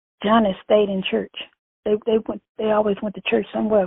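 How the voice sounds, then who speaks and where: A woman speaks with a Louisiana accent. Her intonation stays flat and monotone. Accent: Southern US (Louisiana). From US South, Louisiana. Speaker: churchgoer and family elder. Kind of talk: casual interview.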